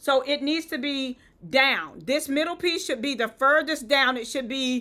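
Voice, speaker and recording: A woman with a Southern US accent projects a raised, bright, sharp voice at a high pitch, with ordinary pitch variation and a moderate pace, on a very clean recording with a silent background. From US South. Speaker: event decor influencer. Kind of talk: live-stream tutorial. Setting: live stream. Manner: conversational, chatty.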